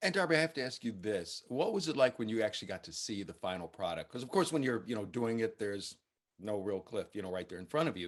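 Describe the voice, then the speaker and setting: A man with an American accent, medium pitch, lively intonation and a very fast pace. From United States. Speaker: film critic. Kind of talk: interview.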